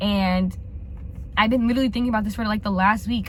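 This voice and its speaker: A woman talks at a very fast pace. Noticeable background noise and audible room echo surround her. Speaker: lifestyle vlogger. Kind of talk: casual vlog chat.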